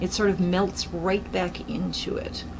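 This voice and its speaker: A woman speaks at a fairly slow pace with audible room echo and noticeable background noise. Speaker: acrylic pour painting artist. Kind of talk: tutorial. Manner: hesitant, many fillers.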